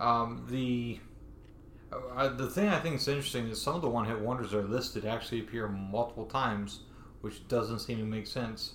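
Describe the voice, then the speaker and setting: Here is a man with a plain, everyday voice at a medium pitch. He talks at a fairly quick pace with fairly even intonation. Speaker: podcast host. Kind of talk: casual chat. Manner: rambling, improvised.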